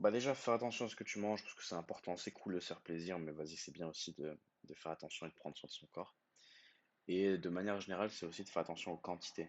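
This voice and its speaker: A man's very deep, low voice at a very fast pace, ordinary pitch variation. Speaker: YouTuber. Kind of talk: screen-share tutorial. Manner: casual with many hesitations.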